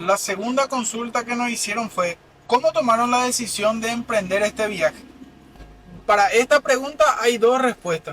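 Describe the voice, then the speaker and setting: Against noticeable background noise, a man in a raised, projected voice speaks at a moderate pace, his pitch extremely high and varying an ordinary amount. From Paraguay, Limpio (Central department). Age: 20s. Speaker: van-life vlogger. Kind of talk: casual chat.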